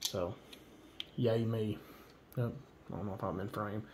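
Speech unfolds at a fairly slow pace amid light background noise. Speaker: gear reviewer. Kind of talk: casual tutorial. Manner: halting, filler words. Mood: relaxed, enthusiastic. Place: home room.

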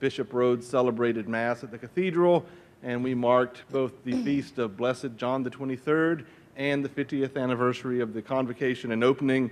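The speaker is a man moving at a fairly quick pace. His intonation remains fairly even. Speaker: faculty host introducing speaker. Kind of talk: formal introduction speech. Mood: warm, light humor. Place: hall. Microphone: podium.

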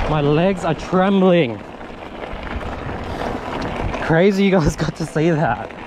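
Amid loud background noise, a man talks with ordinary pitch variation in a dry sound with no echo. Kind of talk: casual vlog chat. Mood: shaken, relieved after near crash. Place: bicycle. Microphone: helmet.

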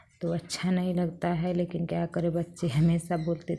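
Fairly slow and monotone, a woman speaks at a fairly low pitch with flat intonation, a somewhat breathy voice and a dark, mellow tone. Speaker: home vlogger. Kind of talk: casual vlog chat. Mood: sad, pleading for views. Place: street. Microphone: phone near.

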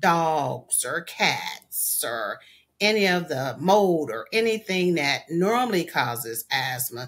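Spoken at a very slow pace, the voice swings very widely in pitch. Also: woman. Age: 50s. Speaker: asthma patient. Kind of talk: testimony. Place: home room. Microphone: webcam.

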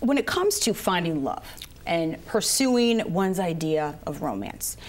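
With lively intonation and a medium pitch, a woman speaks in an ordinary speaking voice. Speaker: TV public affairs show host. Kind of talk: broadcast interview. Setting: studio. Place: studio. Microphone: lapel.

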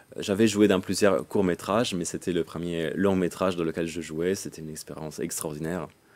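A man talks at a fairly quick pace with hardly any pauses, his very deep, low voice keeping a fairly even intonation. The recording is very clean, with a silent background. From northern Italy, Lombardy. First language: Italian (speaking French). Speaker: medievalist scholar. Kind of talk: interview. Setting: studio.

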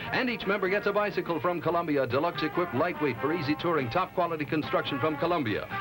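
Clear music runs underneath as a man rattles along at a very fast pace. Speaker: TV show prize announcer. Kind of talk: advertising announcement. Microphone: old recording.

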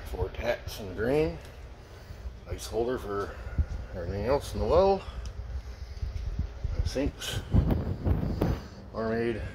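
A man talks with long, frequent pauses. Background noise is noticeable. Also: fairly slow pace. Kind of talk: casual walk-through commentary. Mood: offhand, mildly annoyed. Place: bar. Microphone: phone near.

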